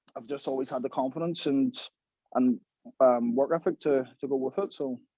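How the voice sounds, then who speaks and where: A man with a Belfast accent, fairly high-pitched for a man, with a dark, mellow tone, fairly even intonation and a fairly quick pace, in a dry, close recording with no echo. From Belfast, Northern Ireland. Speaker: professional boxer. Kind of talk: podcast interview.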